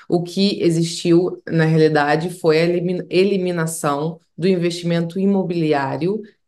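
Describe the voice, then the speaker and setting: A woman with a fairly low pitch speaks in a monotone, flat intonation against a quiet background. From Portugal, moved from Brazil at six. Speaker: immigration lawyer. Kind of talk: interview. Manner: halting, many repeated words. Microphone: video call.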